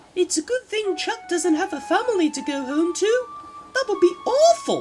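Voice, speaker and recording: A put-on character voice at an extremely high pitch talks at a moderate pace. Clear music plays in the background. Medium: machinima.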